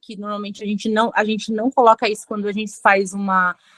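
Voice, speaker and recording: A woman speaks at medium pitch in a bright, sharp tone. The recording is very clean with a silent background, and the sound is dry and close with no echo. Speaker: forensic expert lecturer. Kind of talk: lecture.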